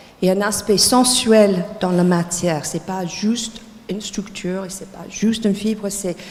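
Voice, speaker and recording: A woman talks at a fairly slow pace, with noticeable background noise and audible room echo. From United States. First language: English (speaking French). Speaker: textile designer and teacher. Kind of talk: lecture. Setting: lecture hall with audience. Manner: halting, many hesitations.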